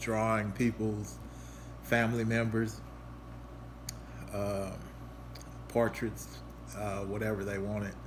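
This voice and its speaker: A fairly low-pitched man, somewhat breathy, at a very slow pace with long, frequent pauses, fairly even intonation and audible room echo. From Louisville, Kentucky. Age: 40s. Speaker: artist. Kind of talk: casual presentation. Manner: halting, many fillers.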